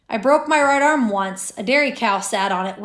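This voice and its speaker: A woman's squeaky, put-on character voice, fairly high in pitch, with lively intonation at a moderate pace. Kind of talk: comic overacting. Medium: read story. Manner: irritable, barking, self-important.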